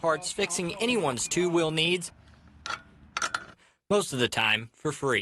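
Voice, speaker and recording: A man speaks at a moderate pace in a normal speaking voice, pitched fairly high for a man. His intonation is lively. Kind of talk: local TV news feature narration.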